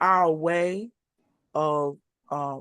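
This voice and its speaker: In an American accent, a woman with a fairly low pitch speaks with a dry, close sound with no echo against a quiet background. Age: 60s. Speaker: HIV advocate and panel host. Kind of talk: panel discussion introduction. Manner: hesitant, many fillers.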